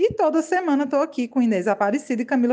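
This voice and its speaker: This woman speaks at a high pitch. Her intonation is lively. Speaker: journalist, press officer and doctoral student. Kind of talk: casual interview chat. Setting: recording at her own home.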